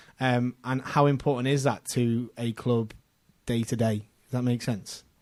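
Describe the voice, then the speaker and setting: In a Scouse accent, a man with a medium pitch speaks at a moderate pace in a flat monotone. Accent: Scouse, considered posh locally. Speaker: podcast co-host. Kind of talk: casual chat.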